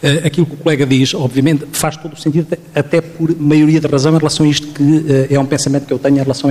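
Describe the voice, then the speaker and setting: Talking very fast with a European Portuguese accent, a man keeps a fairly high pitch and fairly even intonation against noticeable background noise. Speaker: psychologist. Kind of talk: panel discussion. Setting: stage with audience.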